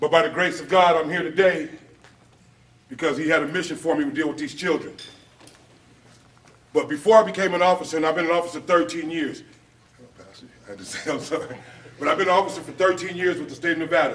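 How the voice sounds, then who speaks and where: A man with an American accent speaks at a very fast pace in a high pitch, his loudness swinging widely, with ordinary pitch variation and long, frequent pauses. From Los Angeles, US West Coast. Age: 40s. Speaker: officer and former gang member. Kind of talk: public talk at a luncheon.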